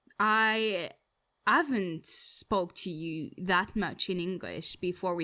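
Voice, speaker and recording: The recording is very clean, with a silent background. A woman talks in a French accent, her tone bright and sharp. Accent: French accent, self-described as bad. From France. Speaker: podcast co-host. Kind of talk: casual chat.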